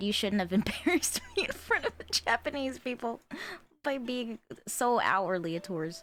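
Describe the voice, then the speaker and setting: A woman mumbles quietly at a moderate pace, her high voice swinging very widely in pitch. Music plays in the background. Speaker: streamer / artist. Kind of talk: casual live stream chat. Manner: mumbling.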